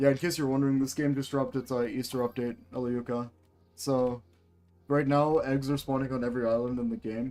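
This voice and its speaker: A man at a fairly quick pace over music in the background. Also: medium pitch for a man. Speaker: gaming streamer. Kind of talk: live game stream chat. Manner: stuttering, stumbling over words; casual, filler-heavy.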